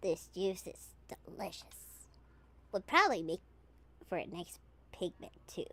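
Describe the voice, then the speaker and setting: A female-sounding voice at a medium pitch for a woman puts on a character voice, speaking at a moderate pace with long, frequent pauses. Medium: virtual streamer. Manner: cheeky, playful.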